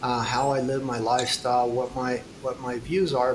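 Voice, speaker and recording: Noticeable background noise accompanies a man talking at a medium pitch. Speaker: futurist and climate advocate. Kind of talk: interview conversation. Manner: slow.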